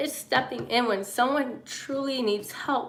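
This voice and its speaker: Audible room echo surrounds a woman who talks at a fairly slow pace with a high pitch and ordinary pitch variation. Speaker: livestreamer. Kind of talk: live stream monologue. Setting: live stream. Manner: halting, filler-heavy.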